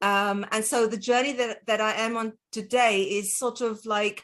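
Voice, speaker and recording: A woman with a South African accent speaks at a fairly slow pace in a fairly high pitch. Her tone is bright and sharp, her intonation fairly even. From South Africa, Cape Town. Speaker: dietitian. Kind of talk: interview.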